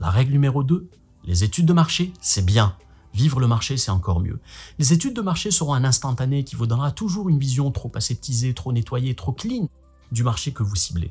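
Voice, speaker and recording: A man speaks in a somewhat breathy voice with very wide swings in pitch. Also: medium pitch for a man, fairly quick pace. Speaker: marketing video blogger. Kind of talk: vlog-style talk to camera. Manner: fast; animated.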